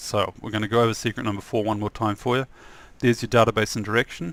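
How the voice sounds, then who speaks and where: In a New Zealand accent, a man speaks at a fairly low pitch with monotone, flat intonation. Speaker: software developer and trainer. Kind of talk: tutorial. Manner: soft-spoken; halting.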